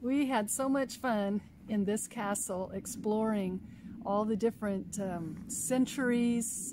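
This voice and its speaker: A woman speaks at a very slow pace in a somewhat breathy voice. The sound is dry with no echo, and background noise is noticeable. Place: open country. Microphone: phone near.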